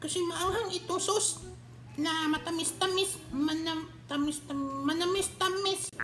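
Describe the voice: A woman does a squeaky put-on character voice at an extremely high pitch, speaking fairly slowly over noticeable background noise.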